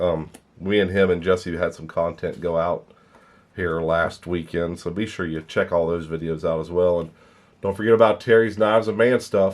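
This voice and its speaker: A man speaks at a moderate pace with fairly even intonation. His pitch is very deep and low. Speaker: knife collector YouTuber. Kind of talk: casual video outro.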